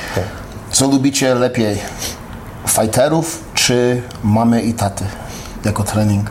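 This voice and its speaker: Over noticeable background noise, a man speaks at a very slow pace with long, frequent pauses, a medium pitch, ordinary pitch variation and very even loudness. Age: 40s. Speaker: MMA fighter. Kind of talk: casual chat. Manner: halting.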